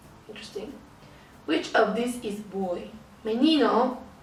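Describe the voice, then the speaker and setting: A woman speaks at a fairly slow pace in a fairly high pitch. Both background noise and room echo are noticeable. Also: long, frequent pauses. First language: Spanish. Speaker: language-learning vlogger. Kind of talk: tutorial.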